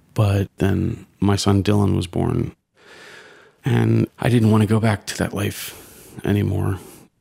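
Speaking at a fairly slow pace, a man uses a very deep, low pitch with vocal fry and ordinary pitch variation. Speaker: storyteller. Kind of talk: testimony.

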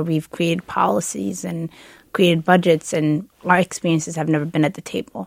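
A woman's plain, everyday voice, fairly low in pitch, at a moderate pace, with dry, close sound and no echo. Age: 20s. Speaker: state senator-elect. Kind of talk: radio roundtable interview.

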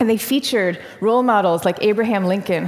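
A woman speaks fairly quickly at a medium pitch. There is noticeable background noise. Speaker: author on introversion. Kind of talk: interview.

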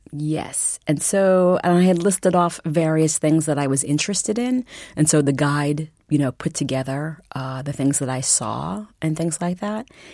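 At a moderate pace, a woman with an American accent speaks in a very deep, low pitch with a dark, mellow tone. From Massachusetts. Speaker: novelist and English professor. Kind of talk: interview.

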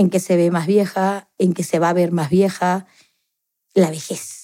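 A woman's dark, mellow voice, medium in pitch, monotone and flat, at a fairly slow pace in a very clean recording with a silent background. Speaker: interviewee, daughter of the subject. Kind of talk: interview storytelling.

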